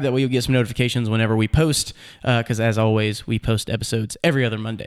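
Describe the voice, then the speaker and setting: Very fast pace from a man with an American accent. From Nashville, Tennessee, US. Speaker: podcast host. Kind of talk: casual interview chat. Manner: filler-heavy, hesitant.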